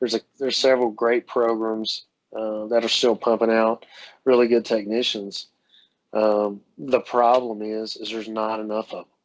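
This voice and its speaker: A man's medium-pitched voice with a slight Southern US accent. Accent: slight Southern drawl. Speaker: dental technician. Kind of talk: podcast interview. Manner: animated, halting with many fillers.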